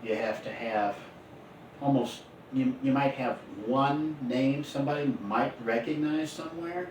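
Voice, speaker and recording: A medium-pitched man at a fairly slow pace amid noticeable background noise. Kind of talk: casual podcast-style talk with co-host.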